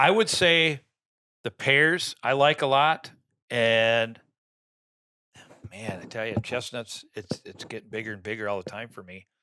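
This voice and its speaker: An animated man with an Upper Midwest accent speaks at a fairly slow pace and medium pitch, his bright, sharp tone showing ordinary pitch variation and big swings in loudness between long, frequent pauses. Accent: Upper Midwest rural American. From Minnesota, small town. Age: 60s. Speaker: land owner and deer hunter. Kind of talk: podcast interview. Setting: studio.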